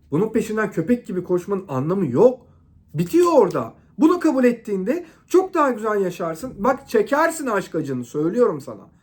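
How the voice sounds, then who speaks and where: Loud and animated, a man talks at a moderate pace in a high pitch with very wide pitch swings. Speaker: relationship advice vlogger. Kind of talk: monologue to camera.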